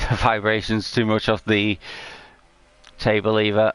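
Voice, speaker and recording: A man speaks in a British accent at a fairly slow pace. His pitch sits fairly low. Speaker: gaming streamer. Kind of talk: live gameplay commentary. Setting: home livestream with PS4 camera. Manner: hesitant, many fillers.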